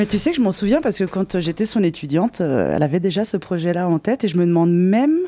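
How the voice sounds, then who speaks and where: A woman speaks very fast with hardly any pauses, at medium pitch. Her intonation is lively and her tone dark and mellow. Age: 30s. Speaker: DJ. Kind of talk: casual radio interview. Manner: halting, repeats words.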